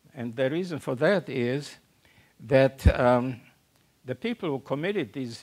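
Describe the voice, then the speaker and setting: With a German accent, a man speaks at a medium pitch using lively intonation. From Central Europe, German-speaking. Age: 90s. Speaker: Holocaust survivor speaker. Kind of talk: public talk. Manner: halting, many fillers.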